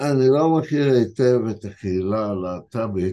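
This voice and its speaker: Lively intonation from a man with a dark, mellow tone. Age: 70s. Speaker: translator and editor. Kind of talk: interview storytelling.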